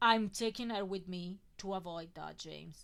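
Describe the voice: Ordinary pitch variation in plain reading aloud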